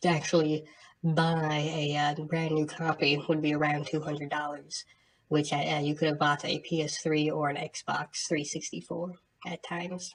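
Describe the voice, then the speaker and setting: Soft-spoken, a woman with a very deep, low voice speaks in a monotone, flat way. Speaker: game master reading dungeon descriptions. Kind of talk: tabletop dungeon narration to camera.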